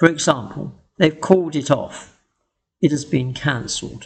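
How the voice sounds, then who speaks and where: A man speaks with a British accent. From England. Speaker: English teacher. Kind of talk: educational tutorial narration.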